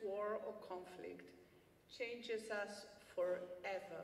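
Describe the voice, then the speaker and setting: A woman in a Greek accent with a passionate tone at a very slow pace, with audible room echo. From Cyprus, Famagusta. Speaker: refugee activist. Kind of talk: acceptance speech. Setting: gala stage with audience.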